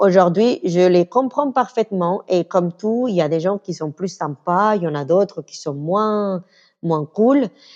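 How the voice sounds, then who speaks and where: This woman talks at a fairly slow pace in a medium pitch with a slight Venezuelan accent, and the sound is dry and close with no echo. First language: Spanish (speaking French). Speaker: interview guest, communications worker. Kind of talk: casual interview chat. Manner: halting.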